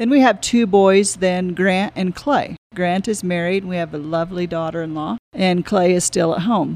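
A woman with an American accent has an unremarkable speaking voice at medium pitch. She speaks at a moderate pace with hardly any pauses, on a very clean recording with a silent background. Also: ordinary pitch variation. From Florida Panhandle. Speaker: cafe owner. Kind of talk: interview.

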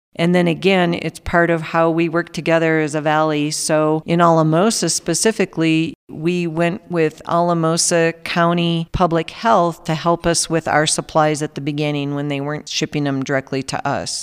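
With hardly any pauses, a woman with an American accent talks at a moderate pace in a fairly low, monotone, flat voice, recorded with dry, close sound and no echo. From Minnesota, rural farm. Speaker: hospital communications director. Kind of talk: casual interview.

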